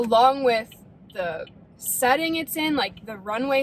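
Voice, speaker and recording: There is noticeable background noise as a woman with an American accent speaks at a fairly slow pace and a fairly high pitch. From US Midwest, Ohio (Defiance). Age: 20s. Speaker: vlogger. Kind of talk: casual vlog talk.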